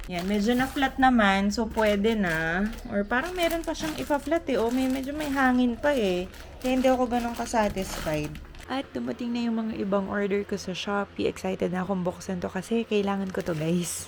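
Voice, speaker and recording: Noticeable background noise sits behind a woman with a fairly high voice. She speaks at a moderate pace with lively intonation. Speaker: vlogger, flight attendant. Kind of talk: casual vlog.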